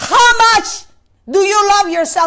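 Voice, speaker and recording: Against a quiet background, a woman uses a raised, projected voice at an extremely high pitch, with a bright, sharp tone, ordinary pitch variation and a very slow pace. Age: 50s. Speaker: preacher. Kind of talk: sermon. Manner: halting, with many repetitions. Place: church. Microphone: lapel.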